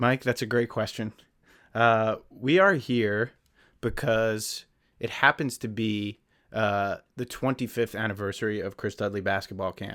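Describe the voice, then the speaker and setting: A normal speaking voice with an American accent and fairly even intonation, on a very clean recording with a silent background. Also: man, medium pitch for a man. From northern New Jersey. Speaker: podcast co-host, film and TV producer. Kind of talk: casual chat.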